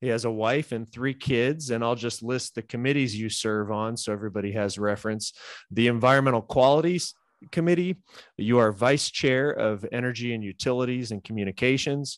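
A man with an American accent has an unremarkable speaking voice, medium in pitch, moving at a fairly quick pace with ordinary pitch variation. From California. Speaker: podcast host. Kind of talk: interview.

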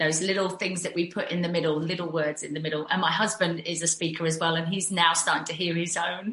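Over noticeable background noise, a woman with a British accent and a fairly low pitch speaks at a very fast pace in a flat monotone with hardly any pauses. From UK. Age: 50s. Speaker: fitness instructor and mentor. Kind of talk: casual chat.

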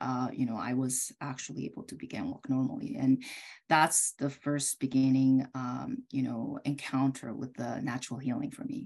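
A woman with a Korean accent talks at a moderate pace. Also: quiet background. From South Korea. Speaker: optometrist and homeopath. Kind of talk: interview. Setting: video call.

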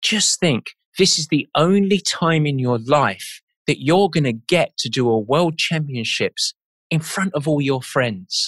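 A man with an English accent, fairly high in pitch and lively in intonation, at a very slow pace, in a dry, close sound with no echo. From England. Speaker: endurance sports coach. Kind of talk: interview conversation.

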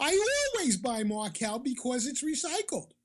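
A female-sounding, put-on character voice speaks at a high pitch. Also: moderate pace. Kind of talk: posh, queenly. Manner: affected, regal.

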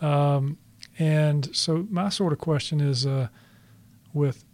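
This man has a fairly high-pitched, somewhat breathy voice. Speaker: podcast host and author. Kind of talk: interview conversation. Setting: studio. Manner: laid back.

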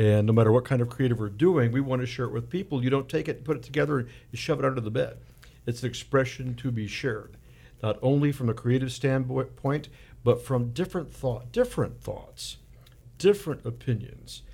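A man talks at a fairly quick pace in a medium-pitched voice with ordinary pitch variation. His tone is dark and mellow and somewhat breathy. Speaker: guest host, fundraising volunteer. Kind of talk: pledge drive pitch, radio banter. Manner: jokey, upbeat.

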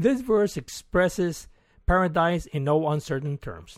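A man with a Spanish accent talks at a fairly slow pace in a fairly high pitch, with lively intonation. The recording is very clean and dry, close with no echo, with a silent background. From Mexico. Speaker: retired science teacher. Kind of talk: scripted narration. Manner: formal.

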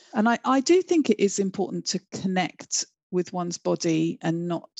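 In a southern English accent, a woman speaks at a fairly slow pace. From London, England. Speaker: educator and education charity co-founder. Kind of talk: interview.

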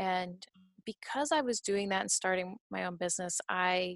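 In a dry, close recording with no echo, a woman with an ordinary speaking voice talks at a moderate pace and a medium pitch. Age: 30s. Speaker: lawyer and nonprofit director. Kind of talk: interview.

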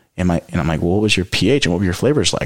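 A man's very deep, low voice with vocal fry and a Californian accent. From California Central Coast. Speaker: winemaker. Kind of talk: casual chat.

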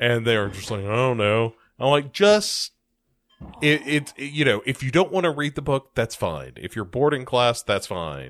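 A man with an American accent has an ordinary speaking voice at a medium pitch. He talks at a moderate pace with lively intonation. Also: very clean recording, silent background. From United States. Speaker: podcast co-host, teacher. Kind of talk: casual chat.

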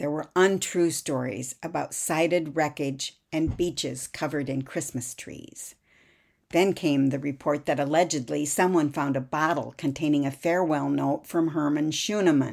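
In a solemn tone, a woman with a very deep, low pitch talks at a moderate pace with fairly even intonation. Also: very clean recording, silent background. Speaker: podcast host and author. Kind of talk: history documentary narration. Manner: measured, steady storyteller pace, solemn and even; formal, clear, reads aloud from script.

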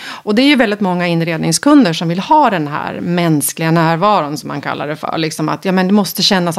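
An ordinary speaking voice from a woman, fairly low in pitch, with lively intonation at a moderate pace. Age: 50s. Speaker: interior photographer. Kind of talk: interview. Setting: host's kitchen.

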